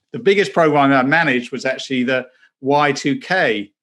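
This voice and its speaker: The speaker has an English accent, heard on a very clean recording with a silent background. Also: man. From southern England. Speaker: former banker and pastor. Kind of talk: interview testimony.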